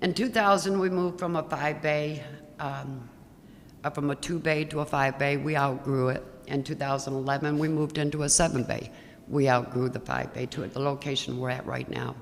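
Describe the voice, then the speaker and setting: Very deep and low for a woman, her voice moves at a fairly quick pace with fairly even intonation. Audible room echo surrounds it. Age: 60s. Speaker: auto repair shop owner, public commenter. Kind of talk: public comment at council meeting.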